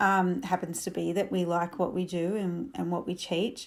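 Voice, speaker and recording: With an Australian accent, a woman speaks at a moderate pace and a medium pitch. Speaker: camel trainer and podcast host. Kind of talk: podcast monologue. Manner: casual, with many fillers.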